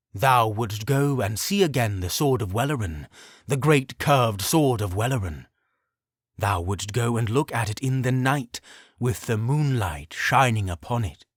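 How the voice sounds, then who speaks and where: In a very clean recording with a silent background, a man performs a put-on character voice. His pitch is medium and his pace moderate. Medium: read story. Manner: solemn, archaic speech.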